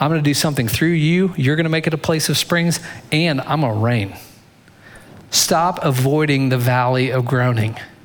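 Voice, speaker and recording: At a fairly quick pace, the speech shows ordinary pitch variation with audible room echo. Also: man. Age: 40s. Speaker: pastor. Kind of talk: sermon.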